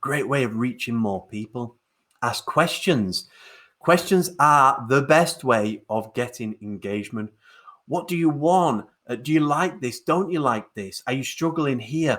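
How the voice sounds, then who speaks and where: An ordinary speaking voice from a man, fairly high in pitch, with lively intonation and a fairly slow pace. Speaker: webinar host, digital marketing trainer. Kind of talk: live webinar presentation.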